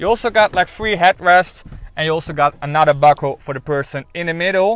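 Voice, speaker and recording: A man with a Dutch accent talks at a fairly quick pace in a bright, sharp tone, his fairly high pitch moving with ordinary variation. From Netherlands. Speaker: car reviewer. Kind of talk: product review. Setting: in a car. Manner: casual.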